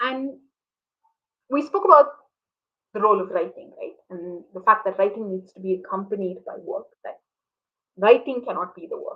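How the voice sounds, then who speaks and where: A woman speaks with a Tamil accent at a moderate pace. Her loudness swings widely, broken by long, frequent pauses. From urban India, Tamil. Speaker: interviewer, activist. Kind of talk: online conversation interview. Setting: online video talk.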